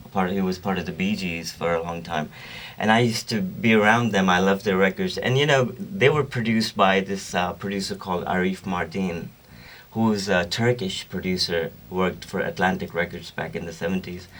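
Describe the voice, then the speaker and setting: The speaker has a Pakistani accent. The pace is fairly quick. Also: man, very deep, low pitch for a man, ordinary pitch variation. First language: Urdu. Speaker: singer-songwriter and record producer. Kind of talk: radio interview. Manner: halting.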